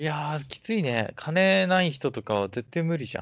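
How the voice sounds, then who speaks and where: This man talks at a moderate pace in a fairly high voice that swings very widely in pitch. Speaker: podcast co-host. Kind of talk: casual chat. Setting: online call. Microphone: packet loss on the line.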